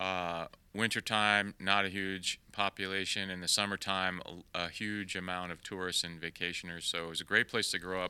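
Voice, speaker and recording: Very deep, low male voice with an American accent, a bright, sharp tone, and monotone, flat intonation at a moderate pace, in a very clean recording with a silent background. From Maine, US (York). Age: 50s. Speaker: astronaut, former Navy SEAL. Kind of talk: interview, casual conversation.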